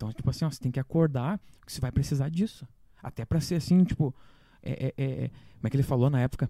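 Talking at a very fast pace with long, frequent pauses, a man has a fairly high, somewhat breathy voice with a dark, mellow tone. His pitch varies in an ordinary way, and the sound is dry and close with no echo. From Santa Catarina highlands, Brazil (Correia Pinto). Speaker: musician. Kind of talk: casual chat.

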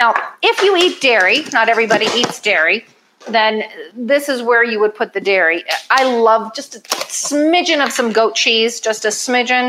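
Using a normal speaking voice, a woman with a fairly high pitch talks at a moderate pace with lively intonation. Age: 50s. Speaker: chef and weight loss coach. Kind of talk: cooking demonstration.

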